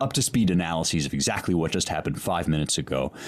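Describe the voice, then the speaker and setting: A man booms in a very deep, low voice with vocal fry. His intonation stays lively. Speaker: podcast host and classics scholar. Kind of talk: casual intellectual interview. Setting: remote audio call with headphones.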